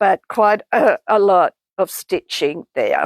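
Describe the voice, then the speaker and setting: A woman with an Australian accent is heard in a dry, close sound with no echo. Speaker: textile artist. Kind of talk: product demonstration.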